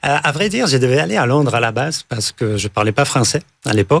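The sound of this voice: The pitch swings widely and the pace is fast. Vocal fry shows up throughout. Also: man, medium pitch for a man.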